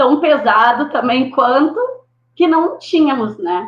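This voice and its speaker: A woman is speaking. Her pitch is high. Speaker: schoolteacher. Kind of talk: panel discussion on live stream.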